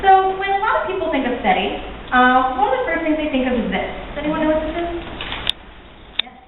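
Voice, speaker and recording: A woman with a high voice talks at a very fast pace, with very wide pitch swings, big swings in loudness and long, frequent pauses, amid audible room echo and noticeable background noise. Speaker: astronomy graduate student. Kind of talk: lecture.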